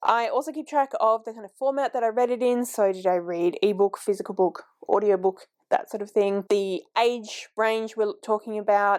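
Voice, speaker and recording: Recorded with a dry, close sound and no echo, the speech moves at a moderate pace with ordinary pitch variation. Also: woman, fairly high pitch for a woman. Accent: Australian. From Australia. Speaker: book vlogger. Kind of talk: casual vlog talk. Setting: home filming, heater on.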